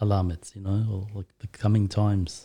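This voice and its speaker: A man speaks at a moderate pace and a fairly low pitch. His tone is dark and mellow, and somewhat breathy. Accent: Australian. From Australia, Turkish family. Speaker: guest discussing Islam. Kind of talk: casual chat.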